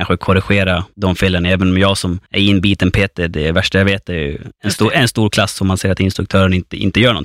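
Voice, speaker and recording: Very deep and low, a man's voice rushes at a very fast pace with hardly any pauses and monotone, flat intonation, on a very clean, dry, close recording with a silent background and no echo. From Gotland, Sweden (northern Gotland). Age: 30s. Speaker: personal trainer. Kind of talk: casual interview. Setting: studio.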